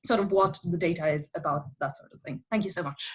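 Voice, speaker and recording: Somewhat breathy, a woman speaks very fast in an Italian accent. Her pitch varies in an ordinary way. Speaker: audience member, linguist. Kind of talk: question in Q&A. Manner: halting, repeats words.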